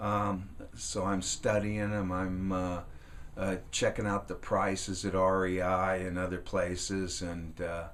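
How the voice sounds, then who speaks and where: The delivery is fairly slow and monotone, with flat intonation and audible room echo. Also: man, very deep, low pitch for a man. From California, US. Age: 60s. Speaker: woodworking and outdoors YouTuber. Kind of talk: casual vlog monologue. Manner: halting, many fillers and restarts.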